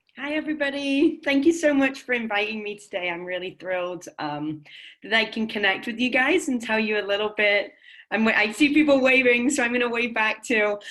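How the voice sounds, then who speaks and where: With an English accent, a woman talks at a fairly quick pace and a fairly high pitch, her intonation lively. Her tone is bright and sharp, over a quiet background. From England. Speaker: nonprofit philanthropy manager. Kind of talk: guest talk. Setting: video call. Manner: hesitant, many ums.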